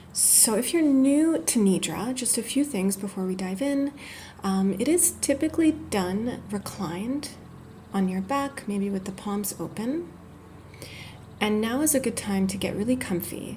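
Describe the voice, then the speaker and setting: A woman speaks soft-spoken and somewhat breathy, in a gentle tone that is also dark and mellow. Her pitch is fairly high, her intonation lively and her pace fairly slow. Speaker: yoga therapist. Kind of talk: guided meditation. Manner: gentle, soft-spoken.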